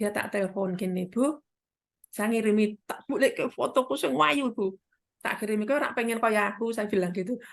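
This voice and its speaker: At a moderate pace, a woman with a Central Javanese accent speaks at a fairly high pitch, her tone animated and her intonation lively. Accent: Central Javanese Indonesian. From Central Java, Kendal. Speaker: midwife and business partner. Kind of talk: testimony.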